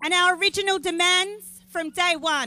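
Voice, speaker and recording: The speaker talks at a fairly slow pace. They have an Australian accent. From Australia (Victoria). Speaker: activist and rally organiser. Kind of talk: rally speech. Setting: outdoor protest rally. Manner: loud.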